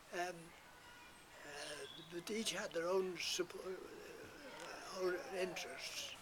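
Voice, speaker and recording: A man at a very slow pace, with noticeable background noise. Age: 80s+. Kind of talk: interview answer.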